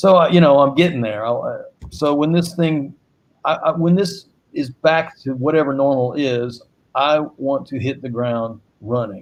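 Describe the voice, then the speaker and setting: Speaking with an American accent, a man has an ordinary speaking voice set fairly high. He keeps a moderate pace and ordinary pitch variation. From US South, Greensboro, North Carolina. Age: 60s. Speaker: saxophonist and singer-songwriter. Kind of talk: panel discussion.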